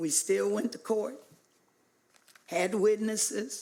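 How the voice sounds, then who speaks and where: The speaker has an American accent and a fairly slow pace. Room echo is audible. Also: woman. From US South, Hot Springs, Arkansas. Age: 60s. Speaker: public commenter at city council. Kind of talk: public comment speech. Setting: city council meeting.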